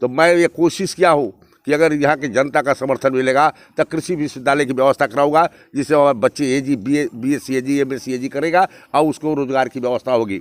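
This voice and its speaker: A man talks with a normal speaking voice at a fairly high pitch, keeping a moderate pace and fairly even intonation. The sound is dry and close, with no echo. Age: 60s. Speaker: politician. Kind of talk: campaign interview. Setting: outdoors at night.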